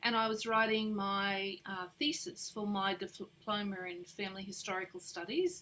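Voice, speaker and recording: A woman with an Australian accent, bright, sharp tone, fairly even intonation and hardly any pauses. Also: medium pitch for a woman, moderate pace. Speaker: genealogist. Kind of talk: interview.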